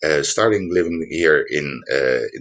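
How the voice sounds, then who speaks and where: With a non-native accent, a man is talking. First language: Dutch. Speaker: housing advice presenter. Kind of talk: online workshop presentation. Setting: livestream. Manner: halting, many fillers.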